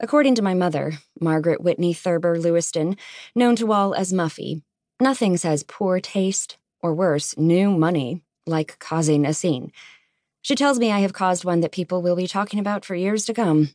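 A woman with a normal speaking voice talks at a moderate pace in a fairly low pitch with ordinary pitch variation, against a quiet background with a dry, close sound and no echo. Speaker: audiobook narrator. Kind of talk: dramatic first-person audiobook narration of a romance novel. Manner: wry, sardonic, indignant, mock-composed with comic timing.

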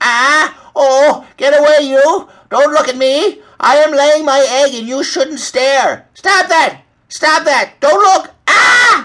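A man puts on a character voice with an extremely high pitch, a bright, sharp tone and lively intonation, speaking at a slow pace.

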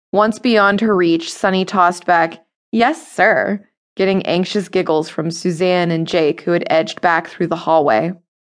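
Using a dramatic tone, a woman with a fairly low voice speaks at a fairly slow pace with ordinary pitch variation. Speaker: audiobook narrator. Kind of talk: dramatic audiobook narration of a memoir, third person past tense. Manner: dramatic, expressive storytelling with character voices; measured, vivid pacing that shifts with the tension of the scene.

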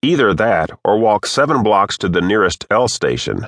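A man's fairly low voice with vocal fry at a moderate pace, dry and close with no echo, against a quiet background. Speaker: audiobook narrator. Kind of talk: audiobook narration of a story, read aloud. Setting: studio recording. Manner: even, steady storyteller's pace.

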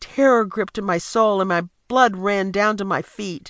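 A woman speaks at a fairly slow pace in a normal speaking voice, with medium pitch and ordinary pitch variation. The background is quiet. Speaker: audiobook narrator. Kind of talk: dramatic first-person audiobook narration, suspenseful memoir reading. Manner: suspenseful, building tension, hushed then urgent.

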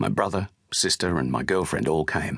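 Vocal fry at a moderate pace. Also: man. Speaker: audiobook narrator. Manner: measured, sombre narration shifting into quoted recollections of departure and grief.

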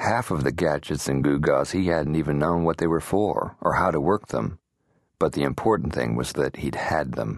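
A man with vocal fry and a very deep, low pitch speaks at a moderate pace with ordinary pitch variation. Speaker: audiobook narrator. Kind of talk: dramatic audiobook narration with character voices. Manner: measured, gritty, moving between wry narration and terse dialogue.

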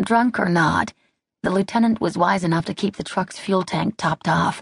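At a moderate pace, a woman speaks with vocal fry over a quiet background, the sound dry and close with no echo. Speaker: audiobook narrator. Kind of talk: dramatic audiobook narration of a wartime battle scene. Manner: tense, building urgency through short clipped sentences.

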